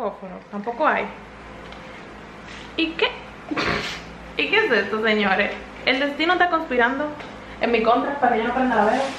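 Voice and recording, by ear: A woman talks with lively intonation and a fairly bright tone, leaving long, frequent pauses as room echo is audible. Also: fairly high pitch for a woman, moderate pace.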